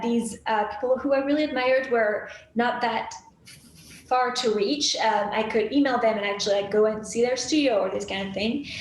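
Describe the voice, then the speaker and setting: A woman at a fairly high pitch and fairly quick pace, with fairly even intonation, audible room echo and noticeable background noise. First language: French. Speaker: graphic designer. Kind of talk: interview.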